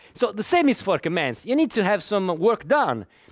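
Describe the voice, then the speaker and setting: A man speaks with an Italian accent at a moderate pace. The recording is very clean, with a silent background. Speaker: conference speaker, software developer. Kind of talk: lecture. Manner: halting, with many repetitions.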